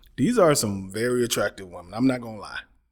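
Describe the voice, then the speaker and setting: Speaking fairly quickly at medium pitch, a man with an unremarkable speaking voice is heard in a very clean recording with a silent background. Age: 40s. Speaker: YouTube reaction commentator. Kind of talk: casual commentary. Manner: casual.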